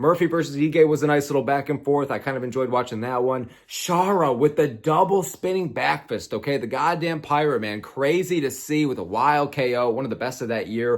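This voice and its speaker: Over noticeable background noise, a man talks fairly quickly in an animated tone with ordinary pitch variation. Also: fairly high pitch for a man. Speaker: MMA YouTuber. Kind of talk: casual commentary video. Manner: stuttering at times.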